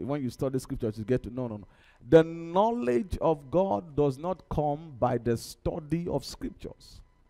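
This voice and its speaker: The voice is animated, with lively intonation, big swings in loudness and a moderate pace, set over music in the background. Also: man. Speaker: preacher. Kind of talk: sermon. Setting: church. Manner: animated, call-and-response style, exhorting the congregation with 'somebody say amen'; repetitive, rhythmic, fervent. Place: church. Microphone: headset.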